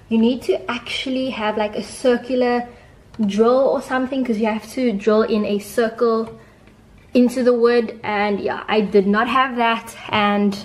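Her intonation stays fairly even. The woman speaks at a moderate pace. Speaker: home decor vlogger. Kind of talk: tutorial. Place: home room.

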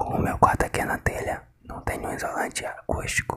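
Whispering, a man speaks at a moderate pace. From northeast Brazil. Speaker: ASMR content creator. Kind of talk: whisper ASMR with tapping triggers. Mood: resigned, slightly frustrated. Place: home room. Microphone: phone near.

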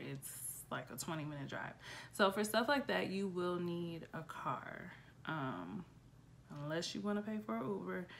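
It is an unremarkable speaking voice at a moderate pace. Light background noise sits behind it. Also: woman. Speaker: travel vlogger. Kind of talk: casual vlog chat. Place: home room. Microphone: phone near.

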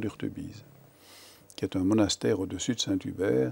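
Speaking at a fairly quick pace, a man has a dark, mellow tone with vocal fry. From Wallonia, Belgium (Namur, Verviers); Wallonia, Belgium. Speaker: lawyer; interviewee. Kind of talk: interview. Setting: TV studio. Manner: hesitant, repeats words. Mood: calm, reflective, thoughtful. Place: studio. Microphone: lapel.

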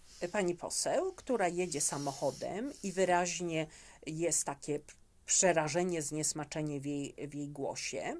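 This woman's voice sits at a fairly low pitch with ordinary pitch variation. She speaks at a fairly slow pace. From Poland. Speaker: immigration specialist; interview guest. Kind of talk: interview. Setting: studio. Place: studio.

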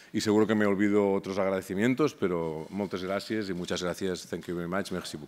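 A man with a fairly low voice talks at a very fast pace, barely pausing. His intonation stays fairly even. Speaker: research institute director. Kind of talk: formal speech. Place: hall. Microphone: podium.

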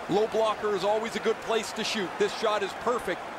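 A man speaks in a high voice with a relaxed tone. His intonation stays fairly even over noticeable background noise. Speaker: color commentator. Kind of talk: live sports commentary. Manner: conversational, analytical, relaxed.

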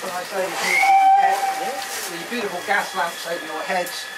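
Loud background noise behind a man's voice. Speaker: heritage railway guide. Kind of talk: safety and history briefing. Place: train. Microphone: camera far.

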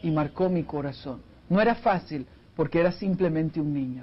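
A man speaks at a fairly slow pace in a fairly high pitch. His pitch varies in an ordinary way. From Costa Rica. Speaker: family counselor and speaker; speaker. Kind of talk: TV interview. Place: studio. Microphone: lapel.

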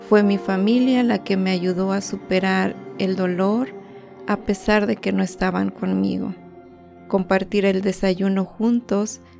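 With music in the background, a woman speaks at a fairly slow pace in a Mexican accent. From Guerrero, Mexico. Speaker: healthcare worker. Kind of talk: personal digital story narration.

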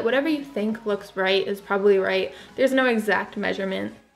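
With faint music in the background, a woman talks at a fairly quick pace with ordinary pitch variation. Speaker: beauty vlogger. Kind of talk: tutorial. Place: home room.

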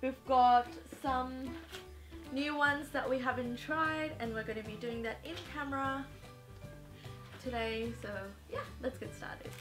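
Clear music behind a woman's high-pitched voice, moderate pace, fairly even intonation and long, frequent pauses. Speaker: lifestyle vlogger. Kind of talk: casual vlog chat. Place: home room.

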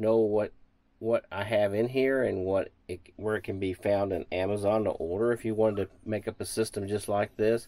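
A man with a fairly low pitch. His tone is dark and mellow. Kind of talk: tutorial. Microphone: phone near.

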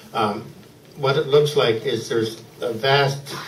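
A man talks at a very slow pace, with audible room echo and light background noise. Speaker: poet at a reading. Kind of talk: introduction before a poetry reading. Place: bar. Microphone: handheld.

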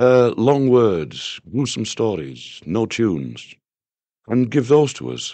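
Over a quiet background with a dry sound and no echo, a man speaks in a Yorkshire accent. His voice sits at a medium pitch but swings very widely. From northern England. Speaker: singer-songwriter. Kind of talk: interview answer. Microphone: old recording.

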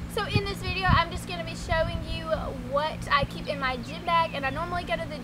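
A woman talking at a fairly quick pace over loud background noise. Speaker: vlogger. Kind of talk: casual vlog chat. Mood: cheerful, encouraging. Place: garden.

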